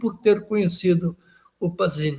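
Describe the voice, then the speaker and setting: Fairly slow in pace, a man speaks with lively intonation. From Porto Alegre, southern Brazil. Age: 70s. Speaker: writer, retired judge. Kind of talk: biographical interview. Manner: halting.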